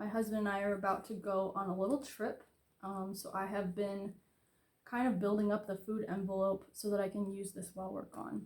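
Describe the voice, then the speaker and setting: A woman's medium-pitched voice with an American accent, flat and monotone, at a fairly quick pace. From Florida. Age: 30s. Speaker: budgeting vlogger. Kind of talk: casual tutorial.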